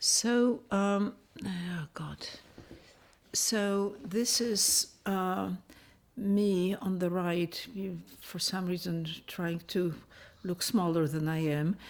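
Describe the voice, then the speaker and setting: Speaking at a very slow pace with long, frequent pauses, a woman with a Polish accent uses a medium pitch and ordinary pitch variation. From Poland, Kraków, then Canada. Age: 70s. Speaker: refugee interviewee. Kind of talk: testimony. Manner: hesitant.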